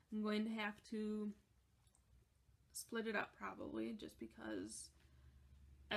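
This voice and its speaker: A woman speaking at a fairly slow pace. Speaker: knitting podcaster. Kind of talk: casual chat. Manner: halting.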